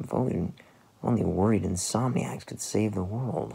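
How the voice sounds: A man puts on a character voice at a moderate pace, fairly low in pitch with a dark, mellow tone, a husky, rough edge, vocal fry and ordinary pitch variation.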